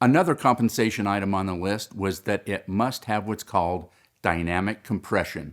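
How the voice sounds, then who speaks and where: An unremarkable speaking voice moves at a moderate pace in a very clean recording with a silent background. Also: man. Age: 60s. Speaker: independent business owner promoting a referral company. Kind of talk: promotional monologue.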